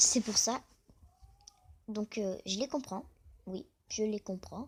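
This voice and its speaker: Somewhat breathy, a woman's fairly high voice moves at a moderate pace with ordinary pitch variation. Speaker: youtuber talking about crayfish hobby. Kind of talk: casual vlog monologue.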